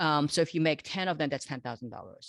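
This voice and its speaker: Recorded very cleanly against a silent background, a woman with a Korean accent talks in a very deep, low voice, the sound dry and close with no echo. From South Korea, moved to Los Angeles at 13. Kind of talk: interview. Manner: conversational, many fillers and restarts.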